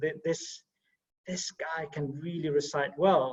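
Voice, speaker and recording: At a moderate pace and with fairly even intonation, this is an ordinary speaking voice. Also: man. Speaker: talk host. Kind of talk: guest introduction.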